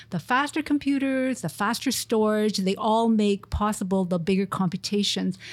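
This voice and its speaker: A woman's fairly high, an ordinary speaking voice, at a moderate pace with ordinary pitch variation and hardly any pauses. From Montreal, Canada. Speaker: research group leader, engineer. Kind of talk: interview.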